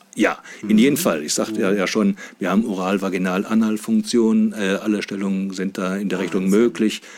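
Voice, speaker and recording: A very fast pace with fairly even intonation. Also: man, fairly low pitch for a man. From Saxony-Anhalt, Harz region (Wernigerode). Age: 50s. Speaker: sex doll company manager. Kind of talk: casual interview. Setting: studio. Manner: hesitant, many filler sounds.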